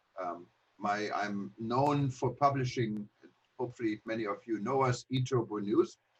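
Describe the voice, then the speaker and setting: At a moderate pace, a man with a German accent talks in a medium pitch with ordinary pitch variation. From Germany. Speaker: travel industry publisher. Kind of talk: presentation. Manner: hesitant, many fillers.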